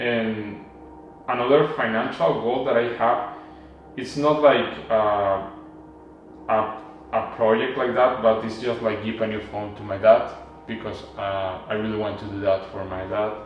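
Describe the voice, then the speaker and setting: Fairly slow speech with a Mexican accent, fairly even intonation and long, frequent pauses, plus audible room echo and noticeable background noise. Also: man, fairly low pitch for a man, big swings in loudness. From Mexico. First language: Spanish. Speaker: vlogger. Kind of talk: personal vlog monologue. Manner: halting, with fillers and restarts.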